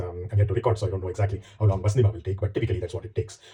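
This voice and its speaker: Very fast, somewhat breathy speech from a man with a dark, mellow tone. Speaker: spiritual commentator. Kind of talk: monologue introduction. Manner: hesitant fillers.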